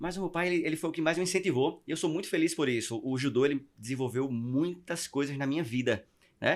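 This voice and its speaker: A man with a strong northeastern Brazilian accent at a very fast pace, on a very clean recording with a silent background. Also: fairly high pitch for a man, ordinary pitch variation. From Northeast Brazil (Maceió, Alagoas). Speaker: podcast guest. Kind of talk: testimony. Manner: halting with repetitions.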